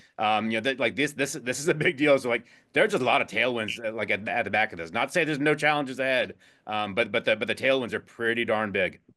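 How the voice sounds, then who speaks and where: A man talks at a very fast pace in a medium pitch with a bright, sharp tone and ordinary pitch variation. The recording is very clean, with a silent background. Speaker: investment executive. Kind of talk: interview. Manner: halting, many fillers and repeats.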